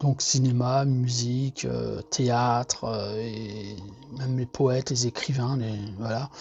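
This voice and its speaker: Against noticeable background noise, a man speaks at a very slow pace in monotone, flat intonation. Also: medium pitch for a man. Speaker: artist sharing monthly energy reading. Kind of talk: casual monologue. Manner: hesitant, many fillers and repetitions.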